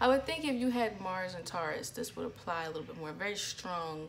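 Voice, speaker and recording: A woman talks at a moderate pace in a space with audible room echo. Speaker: astrology vlogger. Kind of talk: casual vlog talk.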